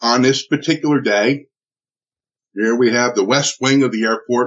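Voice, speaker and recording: A man speaks in a New Jersey accent. His pace is fairly slow. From US Northeast (Newark, New Jersey). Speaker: military veteran and trainer. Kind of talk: interview testimony. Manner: halting.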